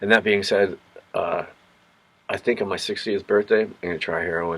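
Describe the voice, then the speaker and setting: Noticeable background noise fills the clip. Through it, a man speaks at a moderate pace. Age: 50s. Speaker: vlogger. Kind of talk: casual monologue. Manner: halting.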